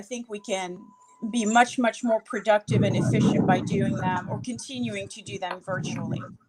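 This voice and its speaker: Over noticeable background noise, a woman with a fairly high pitch speaks at a moderate pace, with lively intonation and big swings in loudness. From France. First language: French. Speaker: judicial candidate. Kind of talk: interview.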